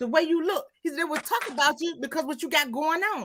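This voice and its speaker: A woman speaks in a raised, projected voice at an extremely high pitch, with a bright, sharp and animated tone. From Mississippi, US South. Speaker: live stream host. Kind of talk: casual chat.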